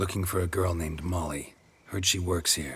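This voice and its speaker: In a put-on character voice, a man speaks raspy and very deep at a moderate pace. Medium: video game. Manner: terse, dry.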